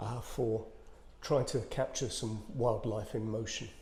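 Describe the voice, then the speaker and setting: A man whispers in a British accent, somewhat breathy. Audible room echo surrounds his voice. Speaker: photographer, video blogger. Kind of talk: casual tutorial vlog. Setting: outdoors, in a bird hide. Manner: whispering; hesitant, many fillers.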